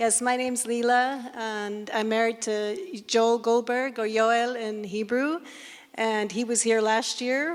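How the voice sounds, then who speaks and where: On a very clean recording with a silent background, a woman with an American accent speaks at a fairly high pitch with fairly even intonation. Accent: sounds American. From Scotland. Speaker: missionary ministry worker. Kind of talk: panel discussion self-introduction. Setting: stage with audience.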